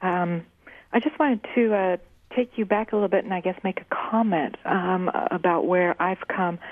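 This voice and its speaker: With a normal speaking voice, a woman talks at a moderate pace in a fairly low pitch with ordinary pitch variation. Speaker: caller. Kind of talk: personal testimony. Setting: phone call.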